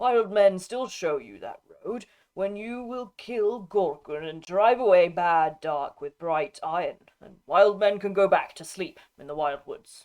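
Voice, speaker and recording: Over a quiet background, a put-on character voice of middle pitch comes out guttural at a fairly slow pace. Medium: read story. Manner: halting broken speech.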